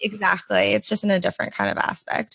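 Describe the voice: A woman with an American accent speaks fast at a medium pitch, her tone fairly bright. There is vocal fry and little pitch movement.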